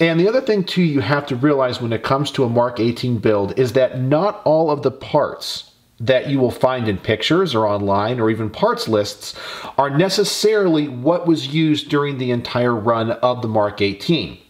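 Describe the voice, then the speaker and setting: In an unremarkable speaking voice, a man talks at a medium pitch and moderate pace with lively intonation over a quiet background. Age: 40s. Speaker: gun YouTuber. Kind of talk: tutorial. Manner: casual. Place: workshop.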